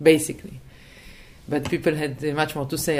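A woman's very deep, low voice with an Israeli accent. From Israel, Tel Aviv. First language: Hebrew. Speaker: publisher and political activist. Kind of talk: interview conversation.

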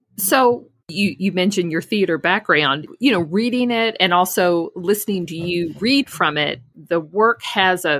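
In a very clean recording with a silent background, a woman speaks at a moderate pace. Her tone is bright and sharp, at a medium pitch. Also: dry, close sound with no echo. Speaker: podcast host. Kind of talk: casual chat. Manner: low-key, unenthusiastic.

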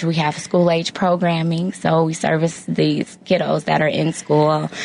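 A woman's fairly low, monotone voice with flat intonation at a fairly slow pace, over noticeable background noise. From Chicago area, Illinois. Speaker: nonprofit education executive. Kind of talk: interview.

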